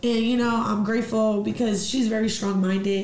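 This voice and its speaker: Over noticeable background noise and audible room echo, a woman with an American accent talks at a fairly quick pace in a monotone, flat intonation. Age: 30s. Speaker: fitness studio owner and teacher. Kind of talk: casual interview chat.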